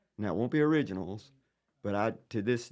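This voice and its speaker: Talking at a fairly quick pace, a man uses lively intonation in a dark, mellow tone. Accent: Southern. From Virginia (Danville). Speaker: singer-songwriter. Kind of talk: casual chat.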